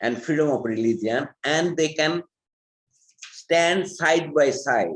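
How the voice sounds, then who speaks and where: A man with a Bangladeshi accent speaks at a very slow pace with lively intonation. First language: Bengali. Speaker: human rights advocate. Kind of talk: panel talk. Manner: halting.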